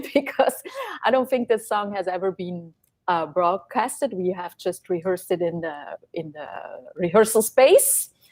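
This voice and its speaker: A woman talks at a moderate pace and medium pitch. Her intonation is lively, with big swings in loudness. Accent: Swiss German. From Switzerland, German-speaking Valais. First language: Swiss German. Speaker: singer-songwriter. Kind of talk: interview. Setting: live stream concert.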